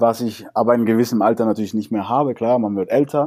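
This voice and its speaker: The recording is very clean, with a silent background. A dark, mellow tone moves at a fairly quick pace with fairly even intonation. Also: man. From Cuba. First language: Spanish (speaking German). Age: 30s. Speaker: salsa dancer and teacher. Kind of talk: interview.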